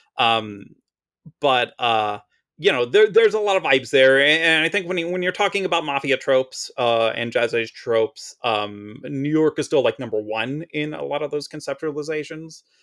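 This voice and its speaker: A man with a strong Philadelphia accent talks at a moderate pace. His pitch is fairly high and his intonation lively. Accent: strong Mid-Atlantic (Philadelphia). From US Mid-Atlantic, Philadelphia. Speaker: Magic card flavor text writer. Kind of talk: casual podcast interview. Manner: loud.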